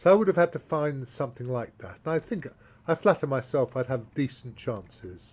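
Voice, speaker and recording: A man with a British accent talks at a fairly quick pace in a fairly high pitch. His voice is somewhat breathy, with lively intonation. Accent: English (British RP-like). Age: 60s. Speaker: chess grandmaster and columnist. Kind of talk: tutorial. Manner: halting.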